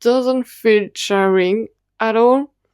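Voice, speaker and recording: A woman with a non-native accent and fairly high pitch, very slow pace, fairly even intonation, dry and close sound with no echo, and a very clean recording over a silent background. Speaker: YouTuber reviewing BL dramas. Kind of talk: casual review ramble. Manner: halting.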